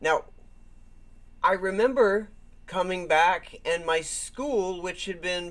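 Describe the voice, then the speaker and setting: Here a man speaks with an American accent at a high pitch. His pitch variation is ordinary. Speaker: YouTube reaction host. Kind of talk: unscripted reaction commentary. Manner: halting, with repetitions.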